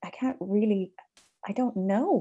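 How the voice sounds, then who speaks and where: A woman with a western Irish accent speaks in a dark, mellow tone with ordinary pitch variation. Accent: Irish (west of Ireland). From Ireland, Galway countryside. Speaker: composer and conductor. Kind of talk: interview conversation. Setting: video call.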